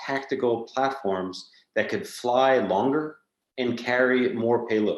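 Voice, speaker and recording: A man with an ordinary speaking voice, a medium pitch and a fairly slow pace. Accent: American. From United States. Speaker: company executive. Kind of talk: conference presentation.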